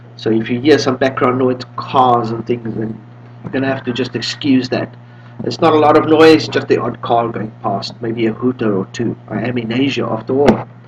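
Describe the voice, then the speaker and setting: Medium pitch from a man at a moderate pace, with fairly even intonation over noticeable background noise. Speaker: Linux distro developer. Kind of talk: tutorial. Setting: home room with windows open. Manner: casual.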